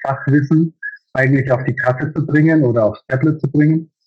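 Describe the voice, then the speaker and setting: This man talks at a fairly quick pace in a fairly high, somewhat breathy voice with fairly even intonation. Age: 50s. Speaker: master baker and business owner. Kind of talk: interview. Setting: video call.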